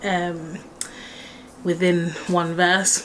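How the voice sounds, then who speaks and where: A woman at a medium pitch is heard over noticeable background noise. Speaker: singer-songwriter vlogger. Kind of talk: casual vlog explaining her song lyrics. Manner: slow; hesitant, many fillers.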